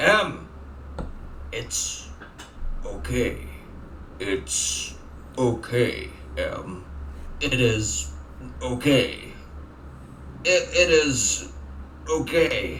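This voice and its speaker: A man uses a put-on character voice at a very slow pace, with long, frequent pauses. Clear background noise can be heard. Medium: game stream. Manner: halting, repetitive, unnatural delivery.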